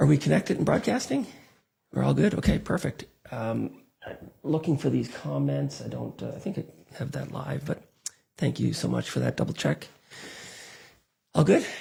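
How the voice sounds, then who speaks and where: Soft-spoken male voice with long, frequent pauses. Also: moderate pace. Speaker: radio call-in show host. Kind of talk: live call-in show news recap. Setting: live online broadcast.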